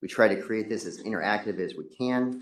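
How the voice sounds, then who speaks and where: A man's monotone, flat intonation. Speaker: state transportation staff presenter. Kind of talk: presentation to commission. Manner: fast.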